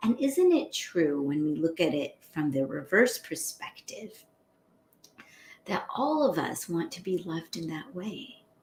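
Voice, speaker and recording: A woman talks loudly, her pitch swinging very widely. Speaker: spiritual teacher. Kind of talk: live-stream spiritual talk. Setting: live stream. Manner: loud voice.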